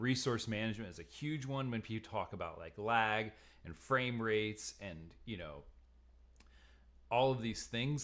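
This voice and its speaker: A man speaks at a fairly slow pace in a medium pitch with ordinary pitch variation, a normal speaking voice. The recording is very clean, with a silent background. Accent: American. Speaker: online course instructor. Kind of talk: lecture. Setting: live stream. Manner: casual, with filler words.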